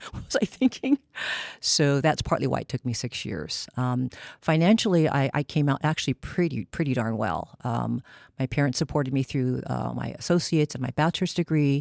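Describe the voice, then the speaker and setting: A woman with an American accent and a very deep, low pitch talks at a fairly quick pace with lively intonation and vocal fry, her voice dry and close with no echo in a very clean recording over a silent background. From California, Seaside. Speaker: psychologist. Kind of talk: panel discussion.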